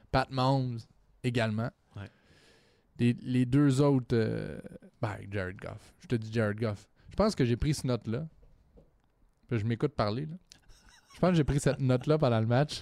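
With a Quebec accent, a man speaks at medium pitch and a moderate pace in a dark, mellow tone, with ordinary pitch variation, long, frequent pauses and big swings in loudness. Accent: Québécois French. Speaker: sports podcast co-host. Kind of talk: casual chat.

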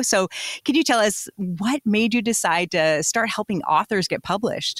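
A woman with a normal speaking voice talks at a fairly quick pace with ordinary pitch variation. The sound is dry and close with no echo. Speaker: radio host. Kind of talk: devotional show host.

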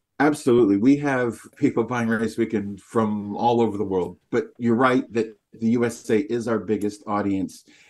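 A man with a North American accent has a normal speaking voice at medium pitch. He keeps a moderate pace with fairly even intonation and hardly any pauses. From Canada. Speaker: magazine publisher. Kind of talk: interview.

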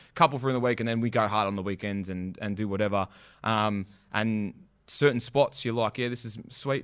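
Recorded very cleanly against a silent background, a man with an Australian accent talks at a fairly quick pace in a fairly low pitch with ordinary pitch variation. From western Melbourne, Australia. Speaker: graffiti artist and rapper. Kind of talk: casual interview chat.

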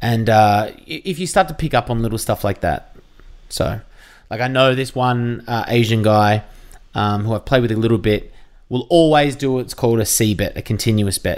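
With an Australian accent, a man speaks at a moderate pace and medium pitch with ordinary pitch variation. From Victoria, Australia (near Geelong). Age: 30s. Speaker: radio and TV host. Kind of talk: casual chat.

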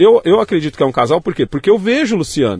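At a fairly quick pace, the speaker talks with a São Paulo accent. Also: man. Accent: Paulistano Brazilian Portuguese. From São Paulo, Brazil. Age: 40s. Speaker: youtuber, former scrap dealer. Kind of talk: casual interview. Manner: animated, slangy.

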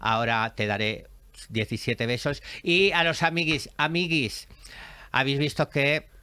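A man with a fairly high, bright, sharp voice speaks very slowly with long, frequent pauses and lively intonation. His loudness stays very even on a very clean recording with a silent background. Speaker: podcast host. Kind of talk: casual chat. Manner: animated.

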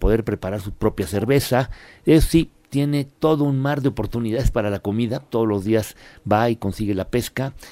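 A man's dark, mellow tone at a medium pitch, with a moderate pace and ordinary pitch variation. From Puebla, Mexico. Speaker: travel commentator. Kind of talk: radio segment chat.

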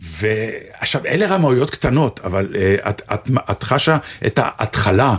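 A man talks at a very slow pace, his pitch making very wide swings. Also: medium pitch for a man. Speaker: actor and radio co-host. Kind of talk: casual chat.

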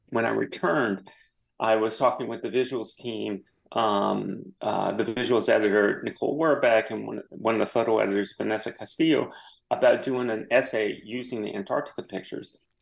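The speaker has an American accent and talks at a fairly quick pace. The background is quiet. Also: man. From US South, New Orleans. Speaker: photographer. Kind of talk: radio interview. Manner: halting.

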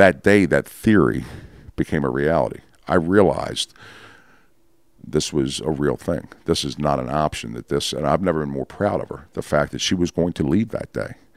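A man with an American accent, very deep, low pitch, vocal fry and lively intonation at a moderate pace, in a dry, close sound with no echo. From Baltimore, Maryland. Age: 50s. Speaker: person in addiction recovery. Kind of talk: testimony. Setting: dining room at host's home. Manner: halting.

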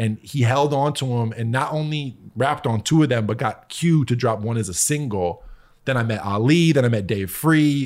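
A man's unremarkable speaking voice at medium pitch, with ordinary pitch variation, a moderate pace, and a very clean recording over a silent background. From US Northeast, Connecticut. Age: 30s. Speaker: music producer. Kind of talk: casual chat.

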